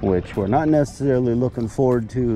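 Light background noise under a man's dry, echo-free voice. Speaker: angler vlogger. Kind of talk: casual vlog chat. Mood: cheerful, relaxed. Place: waterside. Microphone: phone near.

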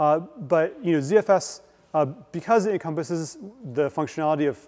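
A man's dark, mellow tone at a fairly quick pace, with ordinary pitch variation. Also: quiet background. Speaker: guest lecturer. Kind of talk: lecture. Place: hall.

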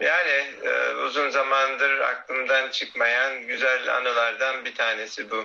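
Very slow delivery in a monotone, flat intonation. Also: man. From Konya, Turkey. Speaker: physicist and semiconductor industry professional. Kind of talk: interview answers. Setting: video call. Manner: hesitant, filler-heavy. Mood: calm, nostalgic. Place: home room. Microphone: phone near.

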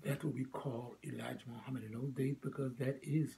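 A man talks at a fairly quick pace with vocal fry and a dark, mellow tone. His intonation is fairly even, with light background noise behind him. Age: 80s+. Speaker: elderly former Nation of Islam member telling his life story. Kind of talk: interview answer, personal reminiscence. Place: home room. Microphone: phone near.

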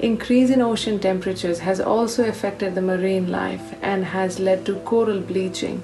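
Clear music plays behind a woman speaking at a moderate pace. Her pitch is medium, with ordinary variation. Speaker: physiotherapist. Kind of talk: casual talk to camera. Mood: calm, concerned. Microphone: phone near.

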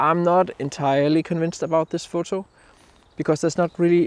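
A man speaks with a dry sound and no echo. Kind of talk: casual vlog chat. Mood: calm, reflective. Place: forest. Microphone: phone near.

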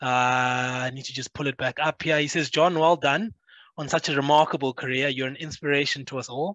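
Against a quiet background, a man with a fairly high pitch and a bright, sharp tone speaks fairly quickly with fairly even intonation, in a dry sound with no echo. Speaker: sports show host. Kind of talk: casual chat. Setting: video call. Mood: warm, appreciative. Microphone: video call.

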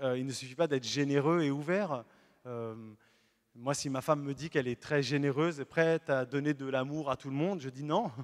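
An animated man's voice, fairly high in pitch with ordinary pitch variation, against a quiet background. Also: moderate pace. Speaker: Protestant pastor. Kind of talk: sermon. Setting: church. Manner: animated, earnest preaching with emphatic repetition; lively, illustrates points with everyday stories. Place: church. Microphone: handheld.

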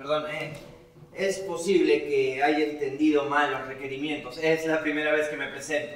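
A man speaks at a moderate pace in a monotone, flat intonation. Room echo is audible. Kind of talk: theatrical monologue. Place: stage.

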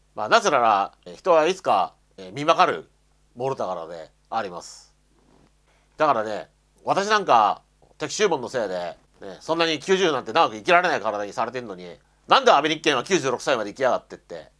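Against a quiet background, a man with a bright, sharp tone and vocal fry moves at a fairly quick pace through very wide pitch swings and big swings in loudness. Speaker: YouTuber commenting on religion; commentator. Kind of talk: solo video monologue. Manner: halting, many fillers. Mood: bitter, resentful. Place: home room. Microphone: lapel.

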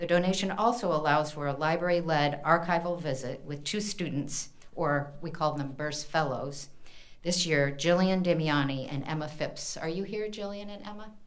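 Her voice very deep and low, a woman with an American accent speaks at a moderate pace with ordinary pitch variation. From US Midwest, Indiana. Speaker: university library dean. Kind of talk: event introduction. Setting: stage with audience. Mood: warm, grateful. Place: hall. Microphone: podium.

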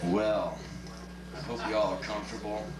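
There is noticeable background noise as a man talks at a moderate pace. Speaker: spoken word performer. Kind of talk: live spoken word performance. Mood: sardonic, comic. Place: stage.

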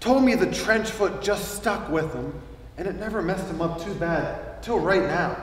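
Heard with audible room echo and light background noise, a man talks at a moderate pace with a high pitch. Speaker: stage actor playing a doctor. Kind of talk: theatrical dialogue. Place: stage. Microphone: camera far.

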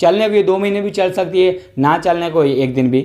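Set against a quiet background, a man's high-pitched voice shows ordinary pitch variation. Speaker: tech channel host. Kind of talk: casual explainer vlog. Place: home room. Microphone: studio mic.

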